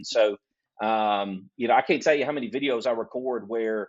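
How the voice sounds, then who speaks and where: A man with a Southern US accent talks at a fairly quick pace. His pitch is medium and his intonation fairly even. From US South, Alabama. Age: 50s. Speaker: graphic designer. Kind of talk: casual interview chat.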